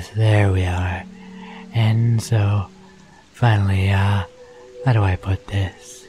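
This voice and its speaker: A man in a put-on character voice speaks very slowly at a fairly low pitch, sounding strained and guttural. Faint music plays behind him. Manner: fussy, rambling, eager.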